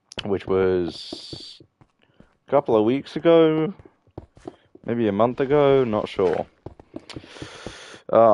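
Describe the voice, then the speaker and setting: With a British accent, a man with a dark, mellow tone and medium pitch speaks at a very slow pace with lively intonation. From Britain. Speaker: gaming streamer. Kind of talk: casual gameplay commentary. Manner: sounds constantly angry, grunting; hesitant, many fillers.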